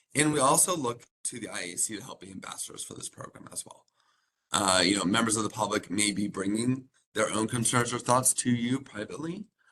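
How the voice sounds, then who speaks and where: Lively in intonation, a man speaks at a fairly quick pace with a bright, sharp tone. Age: 30s. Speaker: county program staff presenting to committee. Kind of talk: public meeting presentation. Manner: fast.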